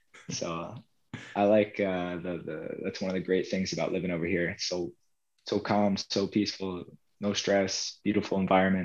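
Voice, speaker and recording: In an American accent, a man talks at a moderate pace with a very deep, low pitch and monotone, flat intonation. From US, South New Jersey. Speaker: professional football goalkeeper. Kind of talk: casual interview.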